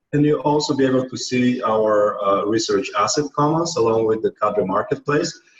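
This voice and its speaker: A man with an unremarkable speaking voice, medium pitch, and a fairly quick pace. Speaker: technical team leader presenting a platform. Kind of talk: conference tutorial presentation.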